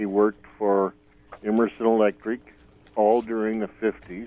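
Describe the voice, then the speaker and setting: Moderate pace with monotone, flat intonation. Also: man. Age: 70s. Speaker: caller. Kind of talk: phone call-in. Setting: phone call.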